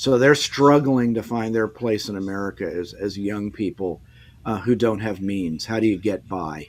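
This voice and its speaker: A man speaks at a moderate pace in a fairly low pitch, with ordinary pitch variation. The recording is very clean, with a silent background. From Washington State, US Pacific Northwest. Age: 60s. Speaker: author. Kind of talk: interview. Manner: halting, many restarts and fillers.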